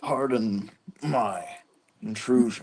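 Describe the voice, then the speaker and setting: A put-on character voice sounds gruff and raspy. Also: man. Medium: game stream. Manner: rusty, unused.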